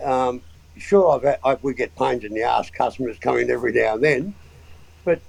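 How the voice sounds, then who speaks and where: The man talks fairly quickly in an Australian accent. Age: 70s. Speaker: motorsport engineer and mechanic. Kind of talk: casual interview chat.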